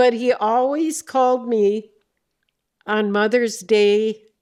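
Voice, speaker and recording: A woman talks very slowly, her pitch moving normally, on a very clean recording with a silent background. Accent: Upper Midwest. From North Dakota, USA. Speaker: retired banker. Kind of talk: interview answer.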